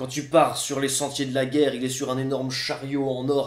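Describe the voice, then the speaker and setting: Audible room echo around a man's voice of medium pitch. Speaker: storyteller performing a live show. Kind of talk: live storytelling performance, humorous. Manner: conversational, comic, lively. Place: home room.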